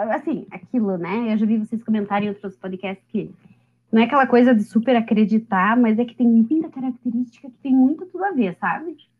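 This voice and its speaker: A woman speaks at a fairly quick pace in a fairly high pitch with ordinary pitch variation. Her loudness swings widely. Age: 30s. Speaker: lawyer and animal-rights advocate. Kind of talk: casual chat.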